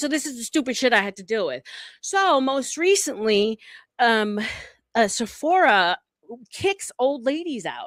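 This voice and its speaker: A woman with a New York accent, an animated tone, very wide pitch swings and a moderate pace. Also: dry, close sound with no echo. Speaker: panel guest, former beauty retail manager. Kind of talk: casual chat. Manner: direct.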